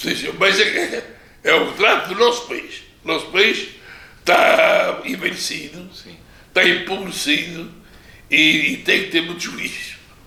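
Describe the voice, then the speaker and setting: A man talks at a fairly slow pace, leaving long, frequent pauses, and his loudness swings widely. Noticeable background noise sits behind him. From Pico island, Azores, Portugal. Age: 80s+. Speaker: retired teacher and former local politician. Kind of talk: interview answer.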